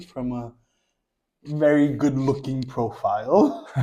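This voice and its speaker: A man speaks very slowly in a New York accent. His medium-pitched voice has a dark, mellow tone. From New York, Queens. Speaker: social media creator. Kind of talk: casual chat.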